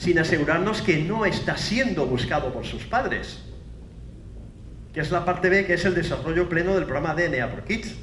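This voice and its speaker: With lively intonation and a high pitch, a man's voice comes through audible room echo and noticeable background noise. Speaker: forensic scientist, university professor. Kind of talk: conference lecture. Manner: fast.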